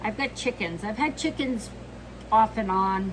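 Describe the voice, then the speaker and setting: A woman talks with a fairly high pitch and ordinary pitch variation over noticeable background noise. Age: 60s. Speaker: homesteader. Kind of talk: casual talk to camera.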